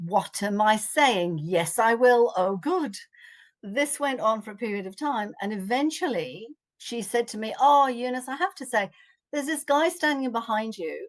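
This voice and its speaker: Against a quiet background, a high-pitched woman with an English accent speaks at a moderate pace in an animated tone, her intonation lively and her loudness swinging widely. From England. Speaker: psychic arts teacher. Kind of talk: interview storytelling.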